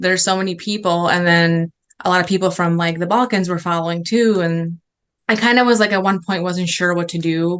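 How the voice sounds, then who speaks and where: A woman speaks with a Chicago accent. Her pitch is fairly low. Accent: Chicago American English. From Chicago, raised in the US after early childhood in Serbia. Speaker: food blogger. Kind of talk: interview answer. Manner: casual, hesitant with fillers.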